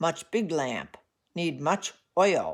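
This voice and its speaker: In a high put-on character voice, a man speaks. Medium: read story. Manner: clipped, terse, gruff.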